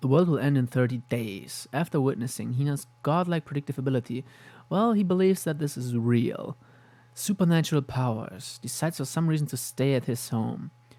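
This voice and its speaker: The speaker has a non-native accent and a fairly quick pace. The recording is very clean, with a silent background. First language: not English. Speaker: anime youtuber. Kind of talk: casual commentary with read-out synopses. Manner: halting.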